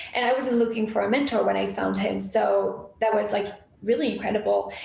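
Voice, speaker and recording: With noticeable background noise and audible room echo, a woman speaks at a moderate pace in a French accent. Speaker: graphic designer. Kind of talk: interview.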